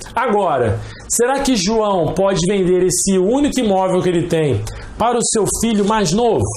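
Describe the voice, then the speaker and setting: A man talks at a fairly slow pace. Room echo and background noise are both noticeable. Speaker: law professor. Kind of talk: lecture.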